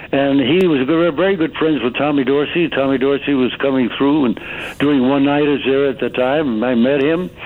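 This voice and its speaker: With noticeable background noise behind him, a man talks at a moderate pace in a fairly high pitch with fairly even intonation. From US Northeast, Stamford, Connecticut. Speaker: actor and author. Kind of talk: interview. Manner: halting, many fillers.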